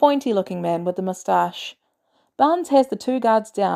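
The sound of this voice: The background stays quiet. Lively intonation runs through an unforced reading voice.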